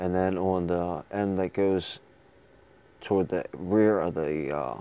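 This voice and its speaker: Very slow and very deep, a man's low voice carries fairly even intonation. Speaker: firearms reviewer. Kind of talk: tutorial. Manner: halting.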